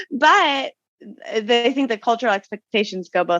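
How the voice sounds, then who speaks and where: A woman with a Montana accent and lively intonation, in a dry, close sound with no echo. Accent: American (Montana). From Montana, US. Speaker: podcast guest, American living in France. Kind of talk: interview. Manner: loud; animated.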